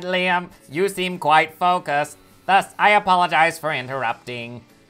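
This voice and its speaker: Speaking at a moderate pace, a man uses a put-on character voice. It is pitched high for a man. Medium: game stream. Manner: formal, precise, mechanical.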